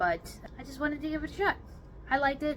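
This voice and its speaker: A woman's voice over noticeable background noise. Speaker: book reviewer. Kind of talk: casual chat. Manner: clipped.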